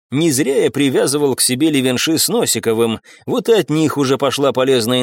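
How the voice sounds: Pitch moves in an ordinary way here. The voice is a natural reading voice.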